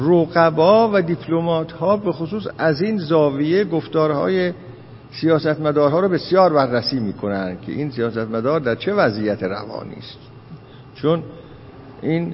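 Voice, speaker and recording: A man with an unremarkable speaking voice, fairly high-pitched, speaks at a moderate pace with lively intonation. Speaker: lecturer on philosophy and hermeneutics. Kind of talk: lecture. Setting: lecture hall with audience.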